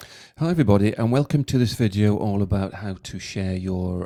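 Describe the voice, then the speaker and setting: In a very clean recording with a silent background and a dry, close sound with no echo, a man speaks at a moderate pace in a fairly low, dark, mellow voice with ordinary pitch variation. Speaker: college tutor. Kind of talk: software tutorial walkthrough. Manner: hesitant, casual.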